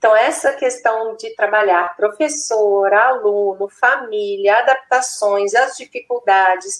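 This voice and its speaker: With a Minas Gerais accent, a woman speaks at a very slow pace and a fairly high pitch, with ordinary pitch variation and hardly any pauses. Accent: Minas Gerais accent, noticeable. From Minas Gerais, Brazil. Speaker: neuropsychopedagogue and educator. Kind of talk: live-stream interview.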